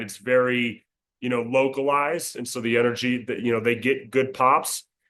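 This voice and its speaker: A man with an American accent speaks fairly quickly at a medium pitch, his intonation monotone and flat. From Colorado, USA. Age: 20s. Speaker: ring announcer. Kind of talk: interview answer.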